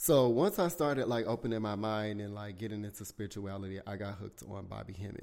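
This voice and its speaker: Very fast, hardly pausing speech from a man with a Southern US accent, fairly low in pitch, with big swings in loudness, in a very clean recording with a silent background. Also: ordinary pitch variation. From South Carolina, US South. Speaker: podcast host. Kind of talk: casual chat, solo podcast talk. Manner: animated, casual, profanity-heavy.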